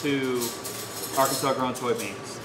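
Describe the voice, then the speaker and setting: Over noticeable background noise, a man talks at a moderate speed. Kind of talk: interview answer.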